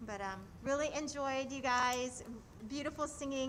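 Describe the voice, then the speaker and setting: In a room with audible echo, a woman speaks loudly at a high pitch and a moderate pace, with ordinary pitch variation. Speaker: choreographer. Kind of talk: casual chat.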